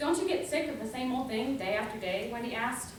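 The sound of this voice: A woman talks at a moderate pace with a fairly high pitch and lively intonation. Audible room echo surrounds her voice.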